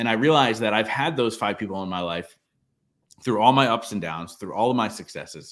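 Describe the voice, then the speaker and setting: In a plain, everyday voice, a man of medium pitch talks at a fairly quick pace with ordinary pitch variation on a very clean recording with a silent background. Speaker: entrepreneur and podcast host. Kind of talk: interview, conversational.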